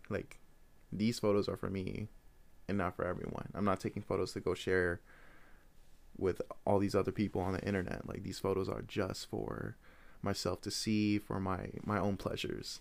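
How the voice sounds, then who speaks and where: A man with an American accent speaks at a moderate pace in a very deep, low voice with vocal fry. He leaves long, frequent pauses. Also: fairly even intonation. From Iowa, US Midwest (Des Moines). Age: 20s. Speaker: photographer and podcast host. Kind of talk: casual monologue.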